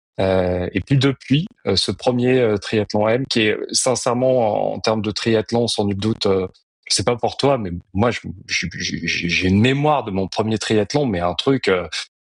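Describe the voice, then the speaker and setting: Speaking at a fairly slow pace, a man has a fairly low pitch. His pitch varies in an ordinary way. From France, early childhood on Réunion. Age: 40s. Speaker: amateur triathlete and banker. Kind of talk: podcast interview. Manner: halting, many filler hesitations.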